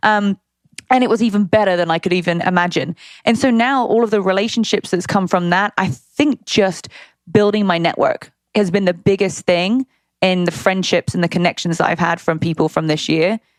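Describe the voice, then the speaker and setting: A woman with a British accent talks at a fairly quick pace and very even loudness, in a dry, close sound with no echo. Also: medium pitch for a woman, ordinary pitch variation. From Britain. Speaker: fitness entrepreneur and youtuber. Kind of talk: interview. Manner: casual.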